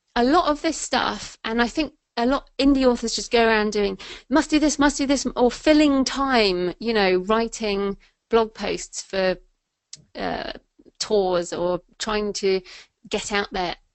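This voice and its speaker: A woman talks with an English accent. Her fairly high voice carries lively intonation. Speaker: thriller and nonfiction author. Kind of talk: interview. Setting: webinar. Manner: casual, many fillers.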